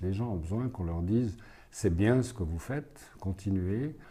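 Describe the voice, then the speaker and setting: Somewhat breathy and dark, mellow in tone, a man speaks at a fairly slow pace in a fairly low pitch with lively intonation. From Switzerland, Fribourg and Neuchâtel. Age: 60s. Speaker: legal consultant and youth prize juror. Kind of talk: interview answers. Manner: halting, many hesitations.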